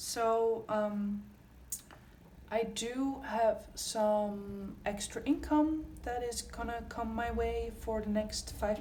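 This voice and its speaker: A woman talks in a space with audible room echo. Noticeable background noise runs underneath. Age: 20s. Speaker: budgeting youtuber. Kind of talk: casual tutorial vlog. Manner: casual with frequent fillers.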